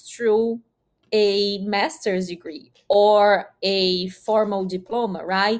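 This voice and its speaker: A woman's fairly high voice in a Brazilian accent, very slow in pace, with ordinary pitch variation. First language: Portuguese. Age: 20s. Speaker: systems engineer and nonprofit co-founder. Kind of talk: interview.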